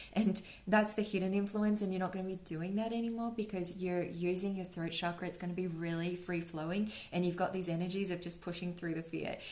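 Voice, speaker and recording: A woman of medium pitch talks at a fairly quick pace with hardly any pauses, amid noticeable background noise and audible room echo. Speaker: tarot reader. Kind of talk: tarot reading. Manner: fast; animated.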